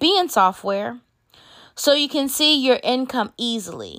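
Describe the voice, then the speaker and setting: A woman's high voice, bright and sharp, animated, with very wide pitch swings at a fairly slow pace, in a very clean recording with a silent background. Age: 30s. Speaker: podcast host and bookkeeper. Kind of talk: casual monologue.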